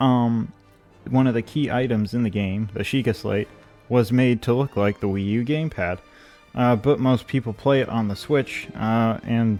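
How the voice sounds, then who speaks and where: Over background music, a man with a medium pitch talks at a moderate pace with ordinary pitch variation. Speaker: gaming youtuber. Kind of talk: video essay. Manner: hesitant, many fillers.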